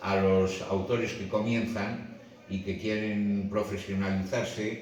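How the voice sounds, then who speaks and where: A man at a fairly low pitch and very slow pace, in a monotone, flat intonation, with audible room echo and noticeable background noise. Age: 70s. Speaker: comic book writer. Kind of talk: book presentation talk. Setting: bookshop event with audience. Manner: halting, many fillers.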